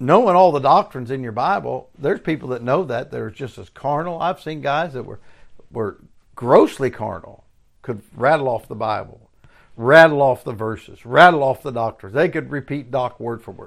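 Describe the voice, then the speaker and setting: Over a silent background in a very clean recording, a man talks with lively intonation, vocal fry and big swings in loudness. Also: medium pitch for a man, moderate pace. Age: 60s. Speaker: preacher. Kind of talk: sermon. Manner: halting.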